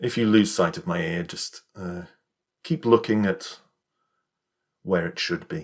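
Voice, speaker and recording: A man's fairly low voice with a British accent, very wide pitch swings, big swings in loudness, a fairly slow pace and long, frequent pauses. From England. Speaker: ASMR creator roleplaying an optometrist. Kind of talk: ASMR roleplay, eye exam. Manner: serious, matter-of-fact, slightly brisk yet calm.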